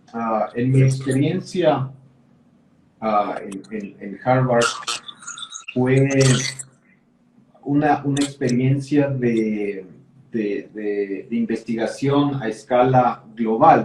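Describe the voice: The man talks slowly, at a medium pitch, with a slightly mellow tone. His pitch rises and falls in an ordinary way.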